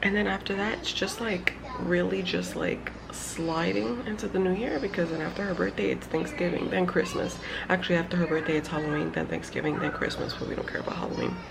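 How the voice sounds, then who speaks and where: In a room with audible echo and noticeable background noise, a woman speaks very fast. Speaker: vlogger, mother. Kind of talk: casual vlog talk to camera.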